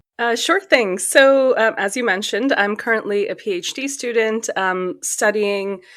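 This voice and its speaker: Against a quiet background, a woman with an American accent talks in an ordinary speaking voice with a fairly high pitch, ordinary pitch variation and hardly any pauses. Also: moderate pace. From Pakistan and Saudi Arabia. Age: 30s. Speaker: PhD student. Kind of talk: interview.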